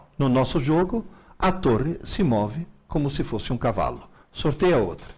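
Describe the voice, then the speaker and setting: With vocal fry and very even loudness, a man talks at a moderate pace in a fairly high pitch that makes very wide swings. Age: 70s. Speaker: teacher. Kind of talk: live Q&A.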